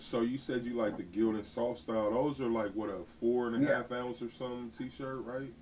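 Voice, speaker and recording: This man has an ordinary speaking voice at medium pitch, moving at a fairly quick pace with fairly even intonation and hardly any pauses. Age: 40s. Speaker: YouTube host, t-shirt maker. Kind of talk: interview. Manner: casual, laid-back.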